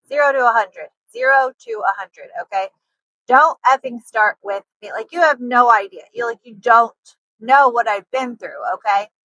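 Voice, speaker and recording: A woman speaks in a high, bright and sharp voice with an animated tone, her loudness swinging widely, recorded dry and close with no echo. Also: ordinary pitch variation, moderate pace. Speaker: nurse and lifestyle vlogger. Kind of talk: casual vlog monologue. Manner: animated, many fillers like 'like'. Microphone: poor audio quality.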